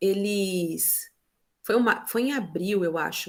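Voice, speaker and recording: With lively intonation, a woman talks in an animated tone. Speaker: teacher. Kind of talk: presentation in online meeting.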